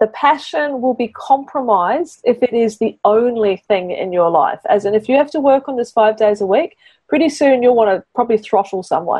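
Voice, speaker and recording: A woman with a slight New Zealand accent speaks at a moderate pace with hardly any pauses. Her fairly high voice has lively intonation. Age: 40s. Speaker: business mentor and podcast host. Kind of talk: mentoring session. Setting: in a car.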